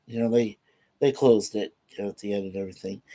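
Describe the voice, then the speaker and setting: This man is heard on a very clean recording with a silent background. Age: 60s. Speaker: vlogger, film reviewer. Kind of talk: casual chat, film review. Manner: halting, many fillers.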